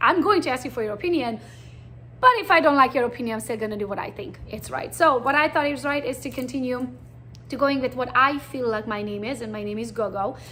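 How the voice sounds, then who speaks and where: Talking at a very fast pace, a woman uses a fairly high pitch with vocal fry and ordinary pitch variation. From Transylvania, Romania (Hungarian). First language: Hungarian. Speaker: real estate agent. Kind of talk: presentation.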